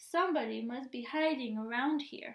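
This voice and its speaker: A woman's put-on character voice, high-pitched, with ordinary pitch variation and a moderate pace. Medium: read story.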